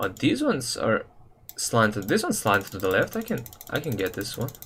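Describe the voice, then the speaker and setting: A man with a non-native accent speaks over noticeable background noise. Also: fairly quick pace. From Serbia. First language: Serbian. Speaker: gaming livestreamer. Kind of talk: casual livestream chat. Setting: live stream. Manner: casual, slangy.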